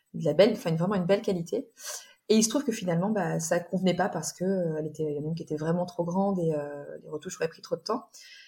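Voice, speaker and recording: A woman's somewhat breathy, fairly low voice with a dark, mellow tone, ordinary pitch variation and a fairly quick pace. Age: 40s. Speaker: bride sharing her wedding dress story. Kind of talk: interview. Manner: halting.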